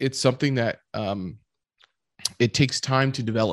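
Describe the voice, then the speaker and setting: On a very clean recording with a silent background and a dry, close sound with no echo, a man with an ordinary speaking voice talks at a medium pitch and moderate pace with ordinary pitch variation. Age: 30s. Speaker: podcast host. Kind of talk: casual chat.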